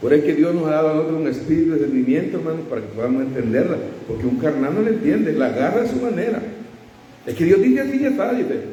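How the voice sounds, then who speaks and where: Amid noticeable background noise and audible room echo, a man talks at a very fast pace in a fairly high pitch with very wide pitch swings. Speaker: preacher. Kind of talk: sermon.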